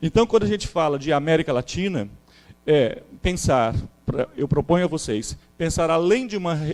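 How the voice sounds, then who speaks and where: Here a man has a plain, everyday voice, pitched fairly high, with lively intonation. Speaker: historian, seminar speaker. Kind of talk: academic lecture.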